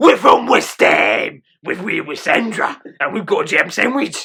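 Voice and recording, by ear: A man puts on a raspy character voice in a Cockney accent, pitched extremely high. He keeps a moderate pace.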